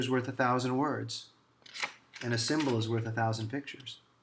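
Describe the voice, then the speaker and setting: A fairly quick, flat, monotone delivery comes through over noticeable background noise. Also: man. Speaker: lawyer. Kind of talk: promotional talk to camera. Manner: fast.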